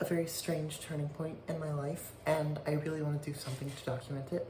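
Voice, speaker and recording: A woman with a very deep, low pitch and flat, monotone intonation, over noticeable background noise. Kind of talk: casual talk to camera. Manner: hesitant, halting.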